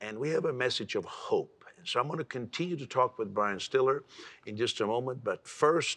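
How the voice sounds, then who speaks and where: A man's voice at a fairly quick pace, medium in pitch, with ordinary pitch variation. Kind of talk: TV talk show interview. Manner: fast.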